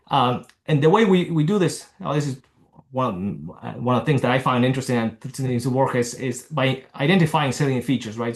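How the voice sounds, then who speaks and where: A man speaks at a fairly quick pace with a medium pitch. His voice is somewhat breathy, with ordinary pitch variation. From Argentina. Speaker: neurologist. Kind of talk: lecture. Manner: halting.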